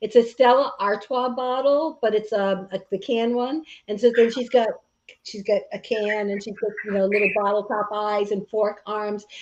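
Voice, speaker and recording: Speaking at a moderate pace, a woman with a fairly high pitch keeps a fairly even intonation while her loudness swings widely. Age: 60s. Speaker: podcast co-host. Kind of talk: casual chat. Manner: halting, many fillers.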